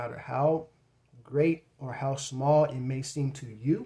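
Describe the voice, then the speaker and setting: Somewhat breathy, a man's medium-pitched voice with a dark, mellow tone and fairly even intonation. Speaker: YouTube creator and author. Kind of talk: tutorial. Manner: casual and conversational.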